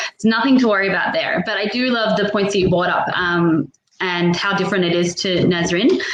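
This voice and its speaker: A woman at a medium pitch, with audible room echo. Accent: Australian. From Australia. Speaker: online business owner hosting a panel. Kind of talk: video panel chat.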